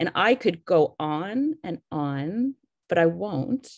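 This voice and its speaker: Over a quiet background, a woman's voice comes through dry, with no echo. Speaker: scientist. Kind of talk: formal introduction. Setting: video call. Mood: warm, admiring. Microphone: video call.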